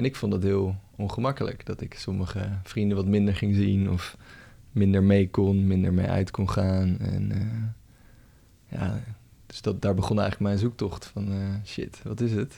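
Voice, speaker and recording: In a dark, mellow, fairly low voice, a man speaks at a moderate pace with monotone, flat intonation. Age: 30s. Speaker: coach. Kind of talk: casual chat.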